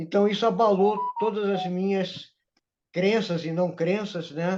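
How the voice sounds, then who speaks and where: A man with a dark, mellow tone and fairly even intonation. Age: 70s. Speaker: spiritual mentor. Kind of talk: interview, personal life story.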